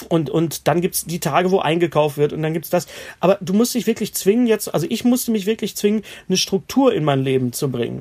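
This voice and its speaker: A man speaks at a very fast pace with a high voice. His intonation is lively. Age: 50s. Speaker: stand-up comedian. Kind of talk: casual chat. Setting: remote call from home.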